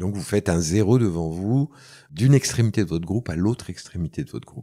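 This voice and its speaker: A man's fairly low voice at a fairly quick pace. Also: dry, close sound with no echo. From France. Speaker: soundpainting teacher and recorder player. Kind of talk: interview. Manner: hesitant, many fillers.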